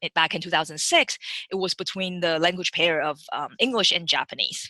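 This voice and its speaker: A woman with a Chinese accent speaks with fairly even intonation and a fairly low pitch, her tone bright and sharp, the sound dry and close with no echo. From Taiwan. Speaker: machine learning engineer. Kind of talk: webinar career talk. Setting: webinar. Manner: halting, many fillers and restarts.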